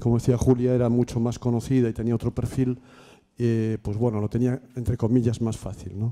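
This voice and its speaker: Dark and mellow in tone, a man speaks at a medium pitch. His pace is moderate and the background quiet. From Spain, Galicia (Ferrol); Galicia, Spain. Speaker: workshop participant, education worker; audience member. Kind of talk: audience question. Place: classroom.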